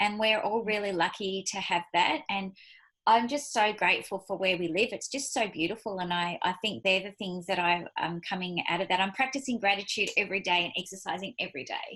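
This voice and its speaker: A woman speaks at a fairly quick pace with an Australian accent, her tone bright and sharp and her pitch variation ordinary. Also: medium pitch for a woman. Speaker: business leader. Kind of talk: casual chat. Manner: fast.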